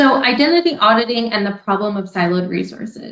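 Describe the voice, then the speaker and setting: A woman talks with a Californian accent. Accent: Californian, flat tone. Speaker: customer success director. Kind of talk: presentation. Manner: flat tone.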